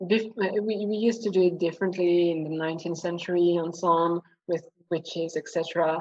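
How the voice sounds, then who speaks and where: A woman's fairly low voice in a French accent, with fairly even intonation. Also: moderate pace. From France. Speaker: historian. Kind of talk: casual chat.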